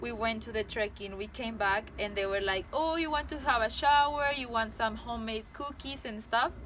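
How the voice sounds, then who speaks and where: Against noticeable background noise, a woman with a fairly high voice speaks in a Mexican accent. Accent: non-native, Mexican Spanish. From Mexico. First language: Spanish. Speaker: travel vlogger. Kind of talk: casual travel vlog. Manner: halting, self-correcting.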